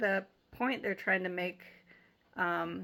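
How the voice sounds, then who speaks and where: Her intonation is monotone and flat. The woman speaks at a medium pitch. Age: 60s. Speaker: Bible teacher. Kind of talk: Bible study talk. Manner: casual, halting with fillers.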